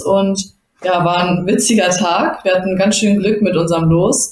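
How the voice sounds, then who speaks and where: An ordinary speaking voice at a moderate pace. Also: woman. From Germany, Bottrop (Ruhr area). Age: 20s. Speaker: judoka and master's student. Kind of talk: casual interview.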